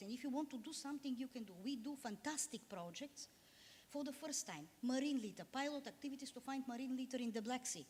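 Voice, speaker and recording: In a Bulgarian accent, a woman speaks at a high pitch and a fairly quick pace. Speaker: diplomat. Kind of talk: panel discussion. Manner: halting.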